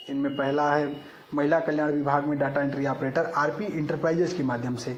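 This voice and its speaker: A man with a fairly high voice speaks in a room with audible echo. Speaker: job updates YouTuber. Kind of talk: screen-recorded tutorial. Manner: halting.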